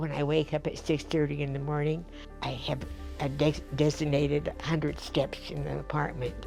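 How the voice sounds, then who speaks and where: A woman keeps a moderate pace as music plays in the background. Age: 80s+. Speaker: centenarian interviewee. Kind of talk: interview answer.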